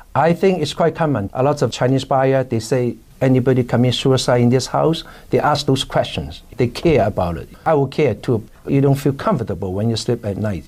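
At a fairly quick pace, a man with a Hong Kong accent speaks at a medium pitch with lively intonation. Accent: Hong Kong Cantonese. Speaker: real estate broker. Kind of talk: interview.

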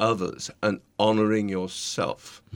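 In a very clean recording with a silent background, a man with a British accent speaks at a medium pitch. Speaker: podcast guest, leadership coach.

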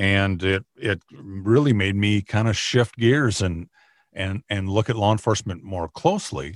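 Recorded very cleanly over a silent background, a man with an Upper Midwest accent speaks in a fairly low pitch with fairly even intonation. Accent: Upper Midwest American. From Minnesota, US Midwest. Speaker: county sheriff and former radio broadcaster. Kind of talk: interview. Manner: halting, many fillers and repetitions.

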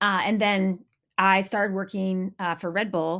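A woman speaks with an American accent. Her intonation stays fairly even. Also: very clean recording, silent background. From Maine, US. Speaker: snowboard magazine editor and commentator. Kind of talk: casual interview. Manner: halting, many fillers.

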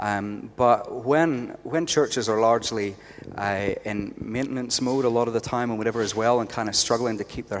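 Here a man with a Northern Irish accent speaks at a moderate pace. His pitch is medium, and his intonation is fairly even. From Northern Ireland. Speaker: youth pastor. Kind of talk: casual interview.

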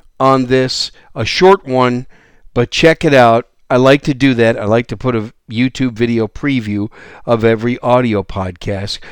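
In a normal speaking voice, a man talks at a medium pitch, the sound dry and close with no echo against a quiet background. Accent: American. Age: 60s. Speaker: gun podcast host. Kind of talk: solo podcast monologue.

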